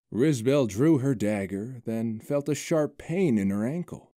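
With lively intonation, someone reads aloud plainly.

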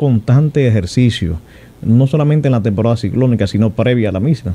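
With lively intonation and a dark, mellow tone, a man talks at a fairly quick pace. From Dominican Republic. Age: 40s. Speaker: emergency operations director, army general. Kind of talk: radio interview. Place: studio. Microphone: studio mic.

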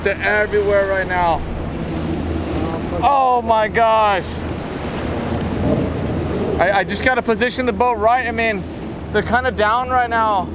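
A man talks at a fairly slow pace with long, frequent pauses and a high pitch. His pitch variation is ordinary, and background noise is clearly audible.

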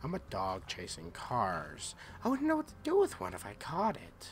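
A man puts on a guttural character voice at a moderate pace. Clear background noise can be heard. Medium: tutorial demo.

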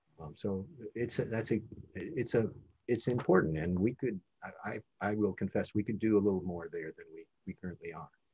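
Somewhat breathy, with a dark, mellow tone and an American accent, the voice moves at a fairly quick pace with ordinary pitch variation and big swings in loudness over a quiet background. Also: man, fairly low pitch for a man. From US Midwest, Chicago. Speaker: bioethics professor. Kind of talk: interview. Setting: video call. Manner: halting. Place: office. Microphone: video call.

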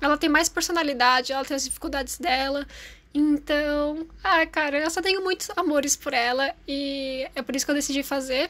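A woman with a high pitch and a bright, sharp tone speaks at a moderate pace. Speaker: YouTuber and artist. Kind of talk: casual vlog talk while drawing.

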